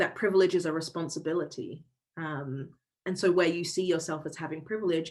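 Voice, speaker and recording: A woman speaks with a London accent. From southeast London, England. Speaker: diversity and inclusion workshop facilitator. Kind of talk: online workshop.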